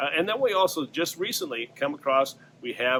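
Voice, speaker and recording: The man's tone is bright and sharp, and his pitch varies in an ordinary way. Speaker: fishing tackle shop owner and fishing reporter. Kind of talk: weekly fishing report to camera. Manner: casual, conversational with many fillers.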